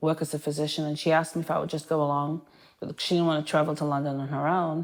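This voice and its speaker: On a very clean recording with a silent background, a woman with an English accent speaks at a very deep, low pitch with fairly even intonation. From Manchester, England. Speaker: primary care physician. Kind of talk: interview.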